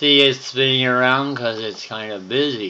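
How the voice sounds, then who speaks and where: Here a man speaks at a very slow pace with fairly even intonation. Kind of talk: casual narration while demonstrating. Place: home room. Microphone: phone near.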